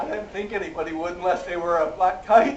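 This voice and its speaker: Audible room echo surrounds a man who talks at a moderate pace. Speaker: zoo bird show presenter. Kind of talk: live animal show presentation. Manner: animated.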